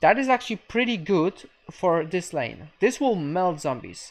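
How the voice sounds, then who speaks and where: A woman speaks very slowly, her pitch swinging very widely, over a quiet background. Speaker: video game streamer. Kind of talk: live game coaching stream.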